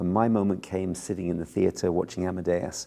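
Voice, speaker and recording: A man speaks in an English accent with a very deep, low pitch. His tone is dark and mellow, his pace fairly quick. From southern England, Bournemouth. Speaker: film composer. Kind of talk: interview.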